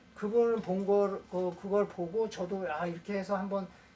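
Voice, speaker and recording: The speaker moves at a fairly quick pace over noticeable background noise. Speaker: rock climbing instructor. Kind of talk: tutorial.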